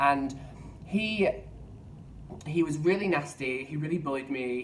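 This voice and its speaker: A man is heard amid noticeable background noise and audible room echo. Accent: London. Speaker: vlogger. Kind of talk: casual vlog monologue. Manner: halting, repeats words.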